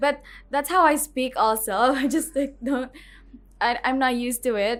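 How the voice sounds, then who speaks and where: At a moderate pace and with fairly even intonation, a high-pitched woman speaks in a very clean recording with a silent background. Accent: Filipino. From Philippines. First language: Filipino. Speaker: student teacher. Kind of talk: interview.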